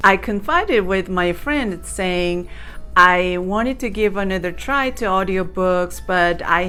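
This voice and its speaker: With a non-native accent, a woman at medium pitch speaks at a fairly slow pace over music in the background. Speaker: YouTuber. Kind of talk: casual vlog talk. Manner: hesitant, with fillers.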